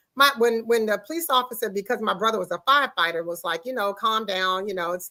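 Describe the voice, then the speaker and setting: Loud and animated, a woman of medium pitch speaks at a fairly quick pace. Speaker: talk show host. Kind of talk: casual chat. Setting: studio with guests in the room.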